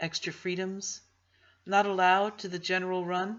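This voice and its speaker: In an American accent, a woman speaks at a moderate pace with medium pitch. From New Jersey, USA. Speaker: audiobook reader. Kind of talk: novel reading. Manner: informal.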